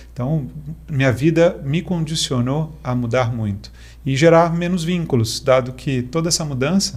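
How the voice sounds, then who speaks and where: A man with a fairly high pitch and a somewhat breathy voice talks at a moderate pace, his pitch varying in an ordinary way. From Brazil, mostly Minas Gerais and central states. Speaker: technology executive. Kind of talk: casual interview chat.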